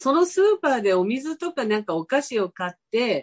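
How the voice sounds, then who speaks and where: Moving through very wide pitch swings at a high pitch, a woman speaks at a moderate pace in a dry, close sound with no echo. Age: 70s. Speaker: spiritual guest. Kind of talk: casual interview chat.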